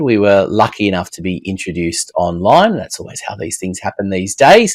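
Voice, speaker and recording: In an Australian accent, a man speaks with lively intonation in a dry, close sound with no echo. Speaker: podcast host. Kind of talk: interview podcast.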